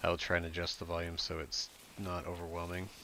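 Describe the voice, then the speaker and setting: A man speaks softly at a very deep, low pitch. His pitch varies in an ordinary way. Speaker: gaming streamer. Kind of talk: live gameplay commentary. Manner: soft-spoken; casual, halting.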